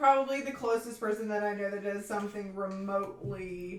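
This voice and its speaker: Talking at a fairly quick pace, a woman with an American accent and a medium pitch is heard with audible room echo. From Tennessee, US South. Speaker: researcher, former graduate research assistant. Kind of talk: casual chat. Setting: live stream.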